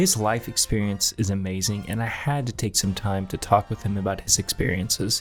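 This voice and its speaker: Music plays behind a man with a fairly low pitch and fairly even intonation. His delivery is fairly quick, with hardly any pauses. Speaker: roofing company host. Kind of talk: video narration.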